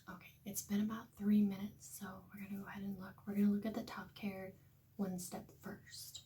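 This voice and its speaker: Quiet and monotone, a woman of medium pitch speaks at a fairly quick pace with big swings in loudness and audible room echo. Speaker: vlogger trying to conceive. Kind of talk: casual vlog talking to camera. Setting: at home, early morning. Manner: quiet, hushed.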